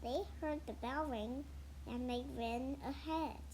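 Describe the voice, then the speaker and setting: Over clear background noise, a woman puts on a character voice at a fairly slow pace. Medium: read story.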